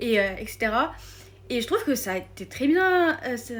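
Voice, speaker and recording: A woman's high-pitched voice at a moderate pace. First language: not French (speaking French). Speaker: film content creator. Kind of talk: casual vlog. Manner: hesitant, many fillers.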